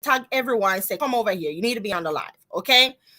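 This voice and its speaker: In a Jamaican accent, a woman with a bright, sharp tone talks at a fairly high pitch with lively intonation, on a very clean recording with a silent background. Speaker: business coach. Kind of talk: live stream talk to viewers. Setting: live stream on social media. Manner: casual, chatty.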